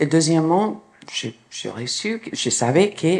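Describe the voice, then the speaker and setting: In a strong American accent, a woman speaks with a very deep, low pitch. There is noticeable background noise. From New York, US. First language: English (speaking French). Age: 60s. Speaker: clinical psychologist. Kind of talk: conference talk.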